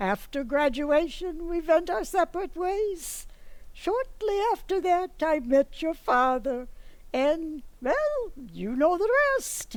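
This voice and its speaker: In a put-on character voice, a woman speaks at an extremely high pitch and a very slow pace, her pitch swinging very widely. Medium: stage play. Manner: blunt, matter-of-fact.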